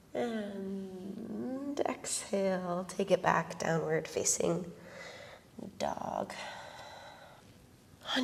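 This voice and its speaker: Over noticeable background noise, a woman speaks in a calm tone. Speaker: yoga instructor. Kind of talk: guided yoga instruction. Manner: calm, slow.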